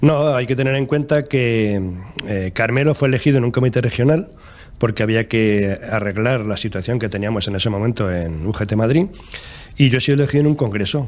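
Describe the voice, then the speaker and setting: A man with an unremarkable speaking voice talks fairly quickly, his medium pitch showing ordinary variation. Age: 60s. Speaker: trade union leader. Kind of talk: TV interview.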